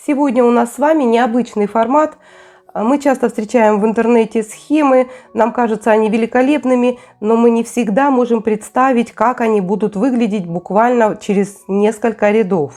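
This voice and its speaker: With a dark, mellow tone and a fairly high pitch, a woman speaks at a moderate pace with very even loudness and ordinary pitch variation. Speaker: crochet tutorial creator. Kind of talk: tutorial. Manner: casual, conversational.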